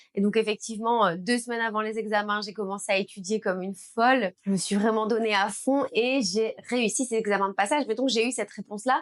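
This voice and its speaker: A woman with a Belgian accent talks at a fairly quick pace with hardly any pauses, her fairly high pitch held in fairly even intonation. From Belgium. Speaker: beauty business owner and trainer. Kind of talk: personal story vlog.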